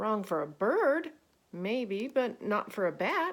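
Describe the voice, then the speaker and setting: A woman uses a put-on character voice, loud and fairly high-pitched. She speaks at a fairly slow pace. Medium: read story.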